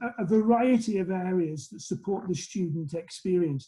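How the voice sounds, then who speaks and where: The man's voice sits high in pitch and has a dark, mellow tone. His pitch varies in an ordinary way. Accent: Lancashire. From northern England, Lancashire. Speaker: college president. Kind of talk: interview. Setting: video call.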